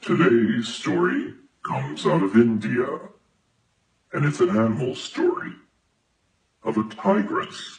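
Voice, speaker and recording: A man with a medium pitch talks at a fairly slow pace. He takes long, frequent pauses. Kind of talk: bedtime story. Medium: read story. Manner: calm, warm.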